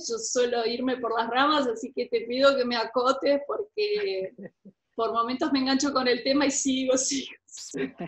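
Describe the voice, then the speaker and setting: A woman's high voice, its pitch varying in an ordinary way. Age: 50s. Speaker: author. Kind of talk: interview.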